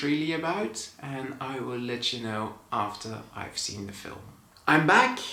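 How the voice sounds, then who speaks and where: Against noticeable background noise and audible room echo, a speaker with a Dutch accent talks at a fairly slow pace with ordinary pitch variation. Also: man. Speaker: movie reviewer. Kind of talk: casual vlog review. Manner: casual, conversational.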